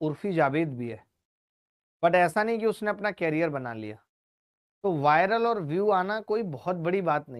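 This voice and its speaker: A man speaks at a high pitch with very wide pitch swings. Long, frequent pauses break up his speech. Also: fairly slow pace. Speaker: maths teacher. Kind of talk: online class lecture. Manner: loud, shouting; animated.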